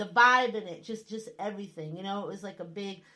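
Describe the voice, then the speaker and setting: Speaking in a northern US accent, a woman talks at a very fast pace. Her tone is animated and her pitch medium. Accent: northern US accent, still noticeable. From US Northeast. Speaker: radio host. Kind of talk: casual chat.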